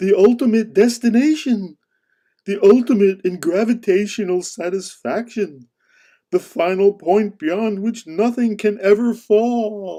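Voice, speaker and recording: In a cartoonish character voice, the speaker talks at a fairly slow pace with a fairly high pitch. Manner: solemn, declamatory.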